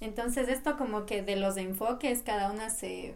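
A woman speaks at a fairly slow pace and a fairly high pitch, with audible room echo around her. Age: 20s. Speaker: podcast co-host, architecture student. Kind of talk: casual chat.

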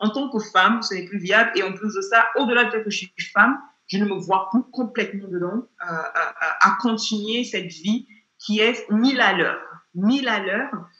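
With ordinary pitch variation, a woman talks in a fairly high voice at a moderate pace. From Nigeria. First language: not French; learned it at 16-17 (speaking French). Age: 30s. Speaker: consultant and former transport entrepreneur. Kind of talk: interview conversation.

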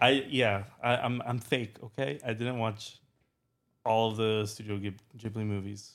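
At a fairly slow pace, a man talks in a normal speaking voice. His pitch is medium and his intonation fairly even. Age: 20s. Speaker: podcast co-host. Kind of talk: audition tape; casual chat.

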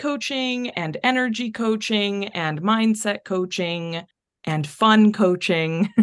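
A woman speaks with an American accent, a plain, everyday voice, at a medium pitch. Her intonation is lively, and the background is quiet. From North Texas. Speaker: life coach. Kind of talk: casual chat.

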